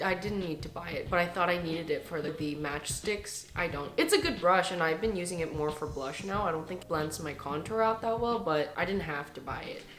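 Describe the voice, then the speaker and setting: Amid audible room echo and noticeable background noise, a woman speaks with lively intonation. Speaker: beauty vlogger. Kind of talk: casual product review. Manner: chatty.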